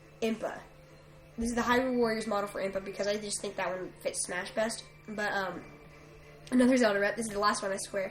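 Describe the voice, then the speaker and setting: Over music in the background, a woman speaks in a fairly high voice with fairly even intonation. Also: long, frequent pauses. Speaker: gaming YouTuber. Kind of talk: top 10 list commentary. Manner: stuttering, halting; casual with many fillers.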